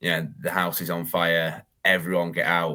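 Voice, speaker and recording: In a very clean recording with a silent background, a man with a northern English accent speaks at a fairly slow pace, his very deep, low pitch paired with a bright, sharp tone. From northern England. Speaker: reptile breeder and YouTuber. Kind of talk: podcast interview, personal story.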